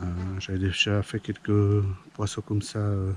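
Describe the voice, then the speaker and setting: A man's fairly low voice in a flat monotone. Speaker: fishing youtuber. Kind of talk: outdoor vlog commentary. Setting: outdoors by a pond. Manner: hesitant, many fillers.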